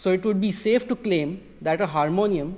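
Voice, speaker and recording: At a moderate pace, a man with a Marathi accent speaks at a high pitch with ordinary pitch variation. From India, Maharashtra. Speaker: music technology PhD student, researcher. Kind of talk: lecture. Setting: concert hall with audience.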